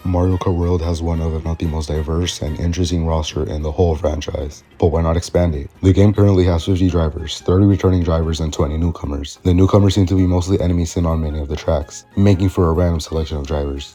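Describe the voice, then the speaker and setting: A man's very deep, low voice at a very fast pace with hardly any pauses, over noticeable background noise. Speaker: gaming commentary YouTuber. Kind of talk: video essay voice-over. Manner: casual, enthusiastic.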